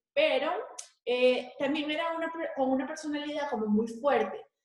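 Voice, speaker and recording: Audible room echo surrounds a woman speaking at a fairly slow pace, her high pitch showing ordinary variation. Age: 20s. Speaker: fashion designer and school coordinator. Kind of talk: interview.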